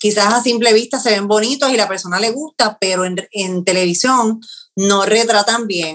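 Delivered fairly slowly, the speech shows ordinary pitch variation. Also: woman. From Puerto Rico, Yauco. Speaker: TV news producer. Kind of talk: interview. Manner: halting, with frequent repetitions.

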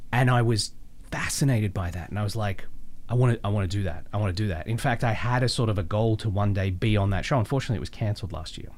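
The somewhat breathy voice moves at a very fast pace with ordinary pitch variation. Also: man, fairly low pitch for a man. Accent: Australian. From Australia (Melbourne). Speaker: voice actor. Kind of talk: casual interview chat.

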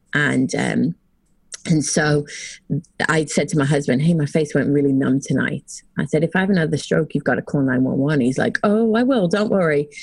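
A woman with an American accent and a very deep, low pitch speaks with vocal fry at a moderate pace, keeping very even loudness and lively intonation. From England. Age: 40s. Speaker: sales consultant. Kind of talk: casual interview.

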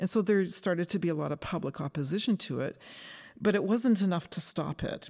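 This voice has a Western Canadian accent and a dark, mellow tone, with ordinary pitch variation. It moves at a fairly quick pace on a very clean recording with a silent background. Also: woman, medium pitch for a woman. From Canada, British Columbia. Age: 60s. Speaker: forest ecology professor. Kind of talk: interview. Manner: halting, with repetitions.

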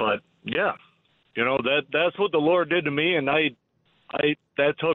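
This man talks at a fairly slow pace. He has an American accent. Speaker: caller. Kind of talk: testimony. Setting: phone call. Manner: halting.

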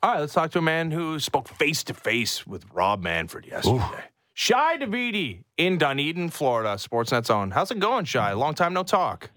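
Bright and sharp in tone, a man's fairly high voice swings very widely in pitch as he speaks at a moderate pace. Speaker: sports radio host. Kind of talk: casual chat. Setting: studio.

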